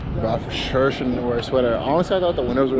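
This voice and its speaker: With noticeable background noise and a dry sound with no echo, a man talks with ordinary pitch variation. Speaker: vlogger. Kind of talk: casual vlog chat. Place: street. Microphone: phone near.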